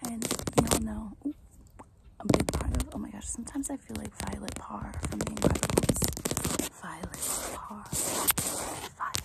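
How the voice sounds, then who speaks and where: Someone is whispering, with long, frequent pauses. Noticeable background noise runs underneath. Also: moderate pace. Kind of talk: ASMR soft-spoken talk to camera. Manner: soft-spoken.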